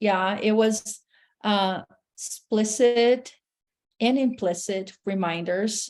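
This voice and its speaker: A woman's fairly high voice in a Portuguese accent at a very slow pace. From Brazil, Sao Paulo. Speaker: therapist. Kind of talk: casual interview chat.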